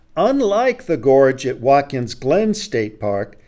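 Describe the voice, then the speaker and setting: A man speaks at a very slow pace in a dark, mellow tone against a quiet background. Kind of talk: lecture. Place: studio. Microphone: studio mic.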